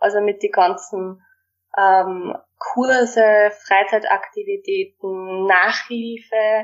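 A woman speaks in a plain, everyday voice, fairly high in pitch with ordinary pitch variation. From Austria, Waldviertel (Lower Austria). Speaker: primary school teacher. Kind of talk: interview.

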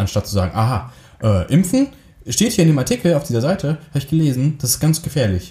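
A man's dark, mellow voice, fairly high-pitched with vocal fry, very wide pitch swings and a very fast pace. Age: 30s. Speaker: film and video producer. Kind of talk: casual chat. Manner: hesitant, many filler sounds.

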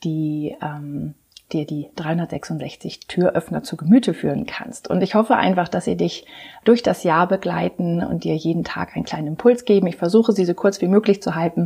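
The voice has a dark, mellow tone with vocal fry, ordinary pitch variation and a moderate pace. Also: woman. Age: 40s. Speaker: life and leadership coach. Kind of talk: podcast monologue. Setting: home practice rooms, on camera. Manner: hesitant, many fillers.

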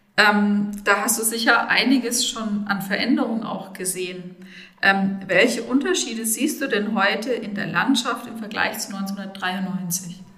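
Over noticeable background noise, a woman speaks fairly slowly at a medium pitch with ordinary pitch variation and big swings in loudness. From Rhön, Lower Franconia (Bavaria). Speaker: podcast host, sustainability officer. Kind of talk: interview.

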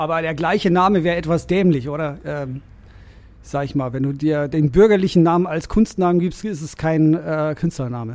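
This man has a fairly high voice with a slight Bavarian accent. He talks at a moderate pace with ordinary pitch variation. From Bavaria, Germany (Rosenheim, Upper Bavaria). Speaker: lawyer and DJ. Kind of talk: casual interview conversation.

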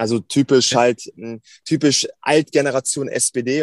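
A man speaks with fairly even intonation in a plain, everyday voice. The sound is dry and close, with no echo. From Germany, Hannover. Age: 20s. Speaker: politician. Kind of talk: interview.

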